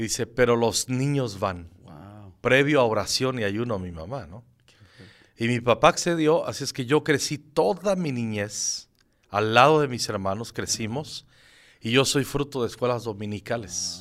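Recorded very cleanly against a silent background, a man with an unremarkable speaking voice talks fairly slowly with lively intonation and big swings in loudness. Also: medium pitch for a man. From Michoacán, Mexico. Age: 50s. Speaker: pastor. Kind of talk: interview.

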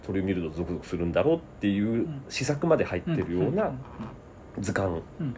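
Pitch swings very widely in this man's fairly low voice. Noticeable background noise is present. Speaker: writer and comedy sketch writer. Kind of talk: casual interview.

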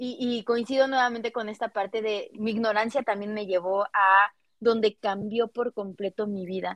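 A woman's unremarkable speaking voice, fairly high-pitched, at a moderate pace with fairly even intonation, in a dry, close sound with no echo. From Mexico, Cuernavaca. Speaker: sexologist podcast co-host. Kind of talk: casual chat.

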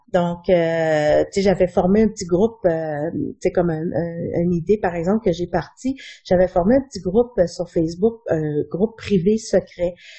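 With music in the background, the speaker goes at a fairly slow pace with ordinary pitch variation. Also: woman, fairly low pitch for a woman. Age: 40s. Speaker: chronic pain patient. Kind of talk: interview testimony.

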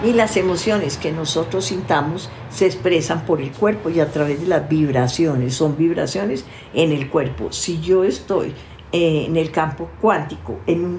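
Speaking at a fairly slow pace, a woman with a fairly low pitch is heard with audible room echo. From Colombia. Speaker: family constellations therapist. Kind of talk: interview.

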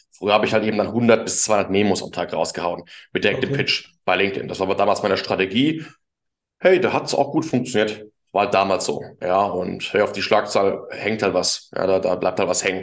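Fairly low in pitch, a man talks at a fairly quick pace. His pitch variation is ordinary. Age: 20s. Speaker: LinkedIn marketing consultant. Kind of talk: casual interview chat. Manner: animated.

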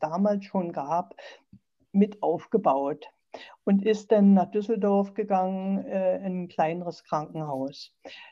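At a very slow pace, a woman speaks in a dark, mellow tone with medium pitch and ordinary pitch variation. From eastern Germany. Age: 60s. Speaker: sarcoma patient and patient advocate. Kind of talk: interview, personal story.

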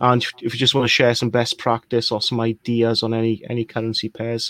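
Dry and close with no echo, a man in a Welsh accent talks at a fairly quick pace and medium pitch with monotone, flat intonation. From Wales. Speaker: crypto investor. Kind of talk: casual live chat. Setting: live stream.

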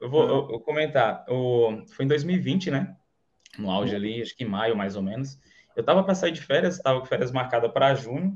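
A man at a medium pitch speaks at a moderate pace, somewhat breathy, with lively intonation. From Bahia, Brazil (interior, Canarana). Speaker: affiliate marketer, electrical engineer. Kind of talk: casual interview, livestream.

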